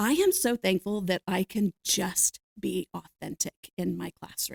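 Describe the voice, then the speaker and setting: A woman at a fairly slow pace, in a dry, close sound with no echo. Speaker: teacher and podcast co-host. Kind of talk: casual chat. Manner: loud; animated, joking.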